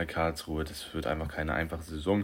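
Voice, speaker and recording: A man's very deep, low voice with vocal fry, fairly even intonation and a fairly quick pace. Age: young. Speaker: podcast host. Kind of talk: solo sports commentary podcast. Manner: casual, with frequent fillers.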